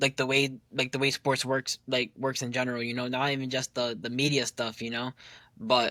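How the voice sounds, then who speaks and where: A man's medium-pitched voice with an American accent and a bright, sharp tone, monotone and flat in intonation, at a moderate pace, with a dry, close sound and no echo. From New Jersey. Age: 20s. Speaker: basketball content creator. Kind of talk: casual interview. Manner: halting, many fillers and repeats.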